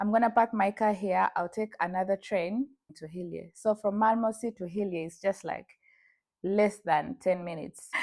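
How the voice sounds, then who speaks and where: A woman with a Ugandan accent speaks at medium pitch with fairly even intonation, her voice dry and close with no echo on a very clean recording, silent background. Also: moderate pace, big swings in loudness. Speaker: vlogger. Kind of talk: personal storytelling.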